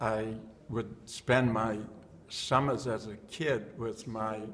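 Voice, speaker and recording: An American-accented man at a very slow pace, medium in pitch, with noticeable background noise. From Boston, Massachusetts (West End). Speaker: former neighborhood resident. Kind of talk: oral history interview.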